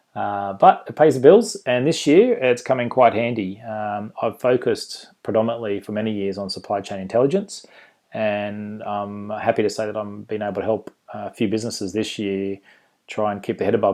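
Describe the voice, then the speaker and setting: A man's fairly low voice with a dark, mellow tone, fairly even intonation, and an Australian accent. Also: moderate pace. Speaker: conference presenter, management consultant. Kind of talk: casual, friendly presentation.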